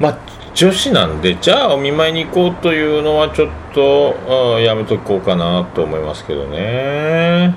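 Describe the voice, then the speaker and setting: Very wide pitch swings from a man, with noticeable background noise. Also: fairly high pitch for a man, moderate pace. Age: 40s. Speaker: podcast host. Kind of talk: casual monologue. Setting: home living room.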